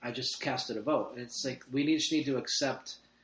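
In an ordinary speaking voice, a man talks at a fairly quick pace and a medium pitch with fairly even intonation. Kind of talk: casual chat.

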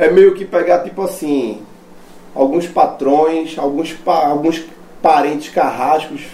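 Noticeable background noise runs under this man's voice. His pitch is fairly high and his pace very slow. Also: ordinary pitch variation. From Brazil, Recife. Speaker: metal band vocalist. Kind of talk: casual chat. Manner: casual slangy.

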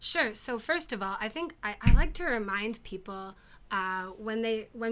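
A woman with an American accent speaks in an ordinary speaking voice at a moderate pace. Her fairly high pitch carries lively intonation, in a very clean recording with a silent background. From United States. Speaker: podcast guest. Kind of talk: casual chat.

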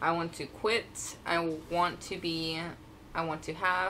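This woman's voice is fairly low in pitch, with a bright, sharp tone. She talks at a fairly slow pace. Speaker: podcast co-host. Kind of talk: casual chat.

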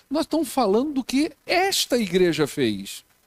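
A man speaks at a fairly slow pace in an extremely high pitch, his voice swinging very widely, with a dry, close sound and no echo. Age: 50s. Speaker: pastor. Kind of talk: sermon.

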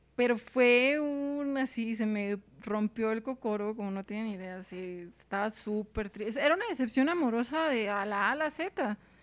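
A fairly high-pitched woman's voice with ordinary pitch variation and hardly any pauses, over noticeable background noise. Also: moderate pace. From Mexicali, Baja California, Mexico. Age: 30s. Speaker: sociologist, polyamory researcher. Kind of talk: casual interview chat.

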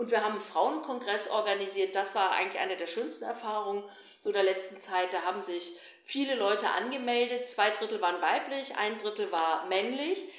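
Against noticeable background noise and audible room echo, a woman at a medium pitch talks at a fairly quick pace with ordinary pitch variation. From Germany, raised bilingual German-Flemish. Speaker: politician and activist. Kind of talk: interview.

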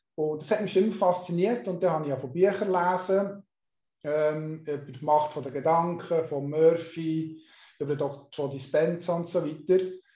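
A man's fairly high-pitched voice with a dark, mellow tone, fairly even intonation and a moderate pace, plus audible room echo. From Switzerland, canton Solothurn. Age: 50s. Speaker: hypnotherapist and mental coach. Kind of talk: interview.

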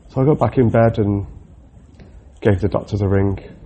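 This man speaks with a Mancunian accent in a fairly low voice. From Manchester, England. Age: 30s. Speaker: RAF loadmaster recovering from surgery. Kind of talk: personal audio diary. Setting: hospital room. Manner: halting.

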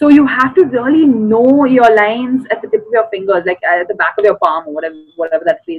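In an Indian accent, a woman with a fairly high voice speaks very fast with hardly any pauses and very wide pitch swings. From South India. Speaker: actress and special educator. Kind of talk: casual interview chat. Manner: animated, laughs often.

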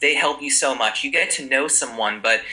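A man with an American accent at a moderate pace, noticeable background noise behind him. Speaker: Italian teacher and YouTuber. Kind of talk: casual interview.

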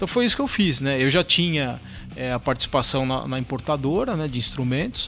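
A man speaks at a fairly quick pace in a fairly high pitch with ordinary pitch variation, music playing in the background. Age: 40s. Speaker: drummer and drum teacher. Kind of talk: casual chat.

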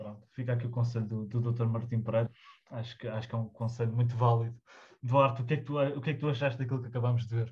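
This man talks at a very fast pace and a medium pitch. His delivery is flat and monotone, and somewhat breathy. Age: young. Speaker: podcast host. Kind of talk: casual chat.

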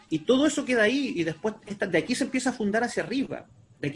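Here a man is speaking. His pace is fairly quick. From Chile, Talcahuano. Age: 40s. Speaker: researcher of Mapuche culture, fisheries engineer. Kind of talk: interview.

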